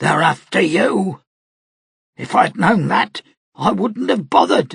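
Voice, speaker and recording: In a put-on character voice, a man sounds raspy and strained at a high pitch. He speaks at a fairly slow pace with very wide pitch swings. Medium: read story. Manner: low, strained.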